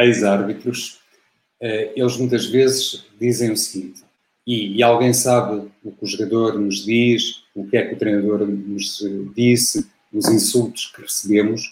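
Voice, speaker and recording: Speaking very slowly in a European Portuguese accent, a man at a medium pitch keeps a monotone, flat intonation, with long, frequent pauses and big swings in loudness. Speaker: football commentator. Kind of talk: casual interview.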